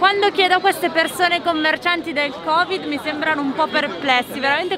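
Over crowd noise in the background, a raised, projected voice talks at a fairly quick pace with ordinary pitch variation, the sound dry with no echo. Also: woman. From Italy. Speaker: travel vlogger. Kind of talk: casual vlog narration. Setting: outdoors in crowded city street. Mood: cheerful, smiling. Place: street. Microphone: phone near.

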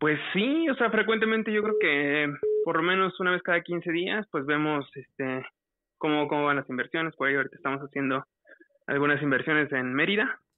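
A man talks at a fairly quick pace in a fairly high voice with ordinary pitch variation. The sound is dry with no echo, over a quiet background. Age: 40s. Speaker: caller; podcast guest or host. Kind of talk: casual chat. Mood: relaxed, conversational. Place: studio.

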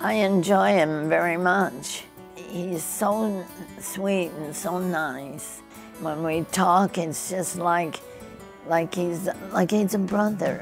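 Clear music plays in the background while a woman speaks very slowly at a fairly low pitch with ordinary pitch variation. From United States. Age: 80s+. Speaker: centenarian and former dancer. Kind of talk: interview answer. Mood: animated, fond reminiscing. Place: home room.

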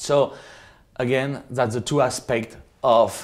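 A man talks at a fairly slow pace with a French accent and ordinary pitch variation. The background is quiet. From France, Loire Valley. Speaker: winemaker. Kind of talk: presentation. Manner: halting. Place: home room. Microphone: lapel.

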